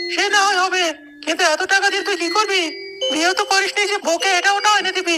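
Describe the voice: A cartoonish character voice moves at a fairly quick pace. Clear music plays in the background.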